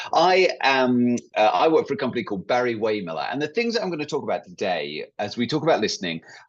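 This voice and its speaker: A man with an English accent at medium pitch, very fast and with hardly any pauses, his pitch swinging very widely over a quiet background. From England. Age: 40s. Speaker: workshop leader, company employee. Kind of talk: online workshop presentation.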